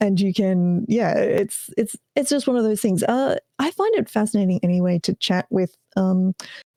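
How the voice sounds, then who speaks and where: In an Australian accent, a woman speaks at a medium pitch with ordinary pitch variation, a dark, mellow tone and very even loudness, the sound dry and close with no echo. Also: fairly slow pace. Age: 30s. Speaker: part-time streamer. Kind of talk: live stream interview.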